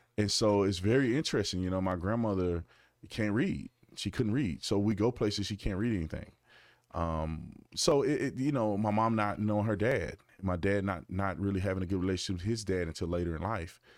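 A plain, everyday voice from a man, fairly low in pitch with ordinary variation, fairly quick, against a quiet background. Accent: American. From Arizona, Tucson. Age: 30s. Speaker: former police officer and political commentator. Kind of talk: casual chat. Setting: studio.

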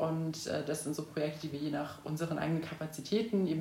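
A woman with a very deep, low voice talks at a fairly quick pace. The recording has audible room echo and noticeable background noise. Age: 20s. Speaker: student activist. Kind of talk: interview.

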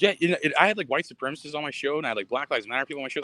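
A man talks at a very fast pace in a bright, sharp tone with a fairly high pitch, the sound dry and close with no echo. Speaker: comedian. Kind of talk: stand-up and casual chat. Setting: Hawaii, remote live.

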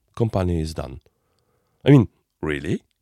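A man's pitch swings very widely. The sound is dry and close, with no echo. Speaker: podcast host. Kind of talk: solo podcast monologue. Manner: halting.

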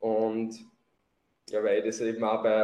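A man speaks at a moderate pace. He has a Lower Austrian accent. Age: 20s. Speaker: bodybuilding athlete and coach. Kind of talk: podcast interview.

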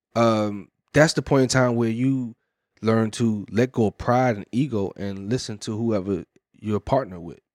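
The speech moves at a fairly slow pace with big swings in loudness, captured as a dry, close sound with no echo on a very clean recording with a silent background. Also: man, medium pitch for a man, ordinary pitch variation. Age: 30s. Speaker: podcast co-host. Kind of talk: casual chat.

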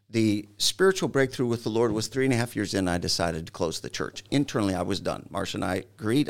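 A man's ordinary speaking voice with an American accent, medium in pitch, fairly quick and lively in intonation, on a very clean recording with a silent background. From Michigan. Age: 60s. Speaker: pastor. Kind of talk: interview.

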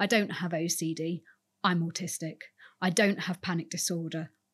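A woman speaks at a fairly slow pace in a somewhat breathy voice, recorded very cleanly against a silent background. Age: 40s. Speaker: museum curator. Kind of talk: interview conversation.

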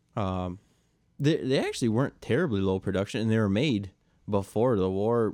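A man at a fairly low pitch and moderate pace, with a normal speaking voice. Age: 20s. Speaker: motorsports insider. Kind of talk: casual chat.

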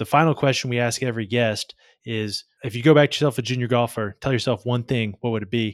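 In a dry, close recording with no echo and a very clean, silent background, a man with a plain, everyday voice talks at medium pitch with fairly even intonation. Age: 20s. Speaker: golf podcast host. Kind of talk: podcast interview.

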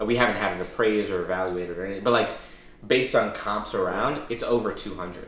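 A man races along at a very fast pace with fairly even intonation, his voice carrying audible room echo amid noticeable background noise. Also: fairly low pitch for a man. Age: 30s. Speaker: real estate investor, podcast host. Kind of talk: casual chat.

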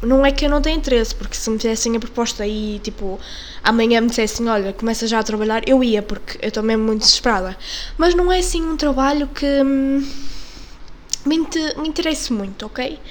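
With a European Portuguese accent, a high-pitched woman speaks fairly quickly with lively intonation, amid noticeable background noise and audible room echo. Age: 20s. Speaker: podcast host. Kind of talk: casual monologue. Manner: halting.

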